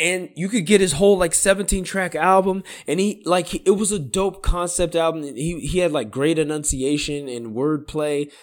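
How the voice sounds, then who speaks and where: With lively intonation and an animated tone, a man with a high pitch speaks at a moderate pace in a very clean recording against a silent background. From Sacramento area, California. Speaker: podcast co-host. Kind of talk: casual chat.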